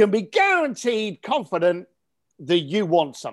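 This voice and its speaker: With a British accent, a man talks in an animated tone at a high pitch, his voice making very wide pitch swings. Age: 50s. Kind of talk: interview.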